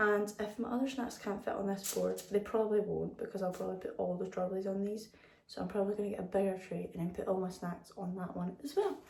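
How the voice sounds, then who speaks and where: With a British accent, a woman speaks at a very fast pace. Noticeable background noise can be heard. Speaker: lifestyle vlogger. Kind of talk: vlog. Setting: at home in kitchen.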